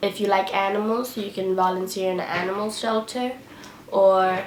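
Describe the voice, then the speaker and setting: At a moderate pace, a woman with a medium pitch speaks over noticeable background noise. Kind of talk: casual talk to camera.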